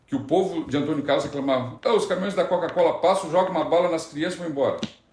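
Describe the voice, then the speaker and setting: A man's very fast speech with very wide pitch swings and audible room echo. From Rio Grande do Sul, Brazil (Candiota). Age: 40s. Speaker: city councillor. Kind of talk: interview, casual chat. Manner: halting, with false starts.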